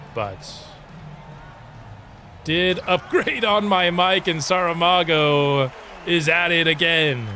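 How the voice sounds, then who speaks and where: At a very slow pace, a man speaks in a high voice with ordinary pitch variation and long, frequent pauses. Noticeable background noise runs underneath. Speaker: gaming streamer. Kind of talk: live gameplay commentary. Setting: live stream. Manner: animated.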